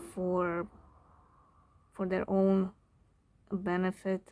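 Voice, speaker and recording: A woman's medium-pitched voice, dark and mellow in tone, with a non-native accent and monotone, flat intonation. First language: not English. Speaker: tarot reader. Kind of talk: tarot reading. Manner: halting, searches for words; casual, filler-heavy.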